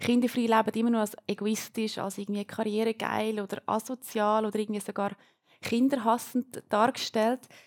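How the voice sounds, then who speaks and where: With a Uri accent, a woman speaks at a moderate pace in a fairly high, monotone, flat voice, and the sound is dry and close with no echo. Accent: Uri Swiss German dialect. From Switzerland, canton of Uri. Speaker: student moderating a panel. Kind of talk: panel discussion moderation.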